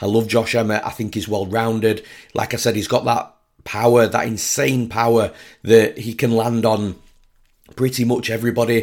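In a monotone, flat intonation, a man's voice holds a medium pitch. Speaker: MMA betting analyst podcast host. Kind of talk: solo podcast fight predictions. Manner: fast, quick-fire delivery.

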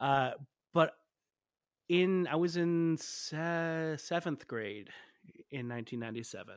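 On a very clean recording with a silent background, a man with an American accent speaks at fairly high pitch. His pace is fairly slow, with long, frequent pauses and ordinary pitch variation. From Michigan, Detroit area. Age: 30s. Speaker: musician and podcaster. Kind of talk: interview conversation. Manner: animated, hesitant with fillers.

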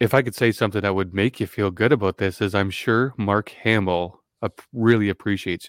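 A man with an unremarkable speaking voice talks fairly quickly in a fairly low pitch with fairly even intonation, sounding dry and close with no echo. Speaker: podcast host. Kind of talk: casual interview.

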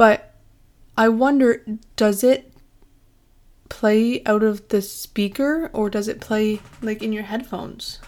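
In a Canadian accent, a woman speaks at a very slow pace with long, frequent pauses. Her pitch is fairly high, and its variation is ordinary. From southern Ontario, Canada (Windsor area). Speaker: student podcast host. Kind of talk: casual monologue.

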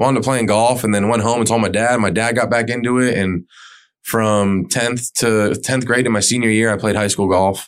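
In a very clean recording with a silent background, a man talks at a moderate pace with very even loudness and fairly even intonation, in a plain, everyday voice. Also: medium pitch for a man. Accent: American. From South Florida, US. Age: 30s. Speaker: coffee shop owner. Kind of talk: casual interview.

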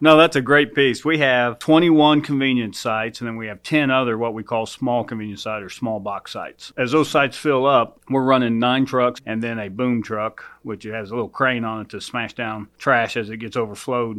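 A man with an American accent talks in a plain, everyday voice at medium pitch and a moderate pace, with hardly any pauses. His intonation stays fairly even while his loudness swings widely. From rural Oklahoma. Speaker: county public works official. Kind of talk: interview.

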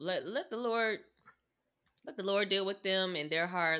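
Her pitch varies in an ordinary way as this woman keeps to a moderate pace. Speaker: podcast co-host. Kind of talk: casual chat. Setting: remote call. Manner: lower voice than usual.

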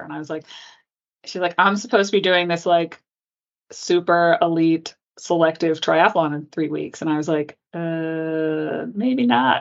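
A woman speaks in a plain, everyday voice. Her pitch is fairly low, with ordinary pitch variation. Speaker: orthopedic surgeon. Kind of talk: interview.

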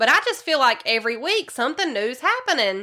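A woman speaks with a Southern US accent at a high pitch, her tone bright and sharp. Her pace is moderate, and the recording is very clean with a silent background.

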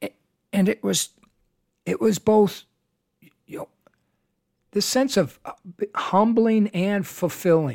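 A dry, close recording with no echo, fairly slow delivery with long, frequent pauses, ordinary pitch variation and big swings in loudness. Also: man, high pitch for a man. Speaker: podcast co-host, father of the other host. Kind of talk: casual chat. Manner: halting.

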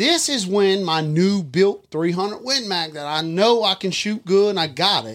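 With a South Louisiana accent, a man speaks in a high voice with lively intonation. He keeps a moderate pace and hardly pauses at all. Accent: Southern US, south Louisiana. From Louisiana, Livingston Parish. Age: 40s. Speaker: hunter and father. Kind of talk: storytelling in casual chat.

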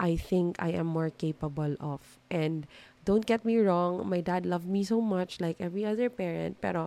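Speaking at a moderate pace, a woman with a Filipino accent has a dark, mellow tone. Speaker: podcast host. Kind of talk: solo self-help monologue. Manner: Taglish code-switching.

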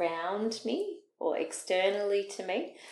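An Australian accent with fairly even intonation. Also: woman. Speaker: podcast host. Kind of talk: casual interview.

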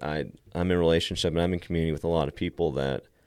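With a very deep, low voice and vocal fry, a man talks at a fairly quick pace with an American accent. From Texas, Lubbock area. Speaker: homeless ministry director. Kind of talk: casual interview.

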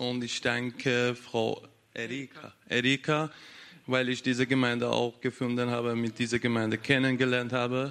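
This man's pitch is medium and his intonation monotone, flat. He keeps a moderate pace. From Iraq. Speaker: baptism candidate. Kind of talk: testimony. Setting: church baptism service.

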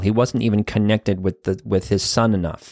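A man with a plain, everyday voice talks at a fairly quick pace in a dry, close recording with no echo, very clean and with a silent background. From Boston area, Massachusetts. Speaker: therapist and podcast host. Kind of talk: solo podcast monologue.

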